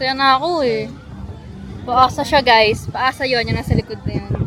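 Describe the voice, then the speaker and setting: A loud, high-pitched woman's voice with crowd noise in the background. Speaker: vlogger. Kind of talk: casual vlog narration. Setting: shopping in stores. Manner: quieter when speaking English, loud in Tagalog; speaks louder to be heard.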